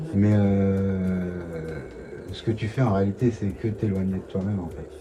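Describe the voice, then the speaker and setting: A man talks at a fairly slow pace, his intonation fairly even, as noticeable background noise continues. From Ivory Coast. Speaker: reggae artist. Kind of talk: interview answer. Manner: calm, thoughtful.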